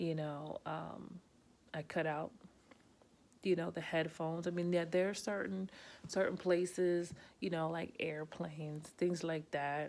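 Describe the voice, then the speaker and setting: A woman with a New Jersey accent and a fairly low pitch speaks at a fairly slow pace with fairly even intonation and long, frequent pauses, on a very clean recording with a silent background. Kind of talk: casual talk to camera. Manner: quieter than usual; direct, many fillers.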